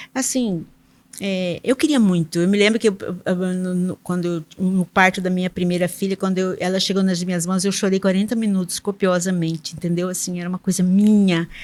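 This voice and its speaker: A woman talks at a fairly quick pace in a medium pitch. Her intonation stays fairly even. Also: very clean recording, silent background. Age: 60s. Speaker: public sector auditor, engineer. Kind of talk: podcast interview. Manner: halting, many fillers and repetitions.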